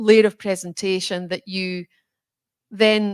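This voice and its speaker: A woman with a Scottish accent speaks at a moderate pace and medium pitch in a flat monotone, the sound dry and close with no echo on a very clean recording with a silent background. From Scotland. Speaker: bank chief executive. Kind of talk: interview conversation.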